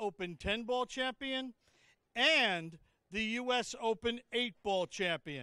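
A man speaks very slowly in a raised, projected voice with a high pitch and lively intonation. His tone is bright and sharp, the sound dry with no echo, over a quiet background. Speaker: arena announcer. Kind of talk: formal introduction announcement. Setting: PA system in arena. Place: hall. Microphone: handheld.

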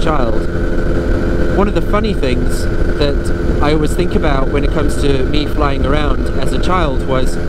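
Loud background noise accompanies a man's voice in a dry sound with no echo. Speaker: microlight pilot vlogger. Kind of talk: casual vlog chat. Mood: relaxed, nostalgic, amused. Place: plane.

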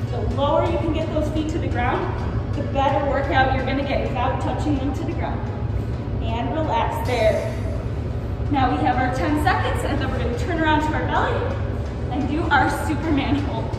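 Clear music plays in the background, and room echo can be heard. The speech moves at a moderate pace. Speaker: fitness instructor. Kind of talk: workout instruction. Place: gym. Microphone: camera far.

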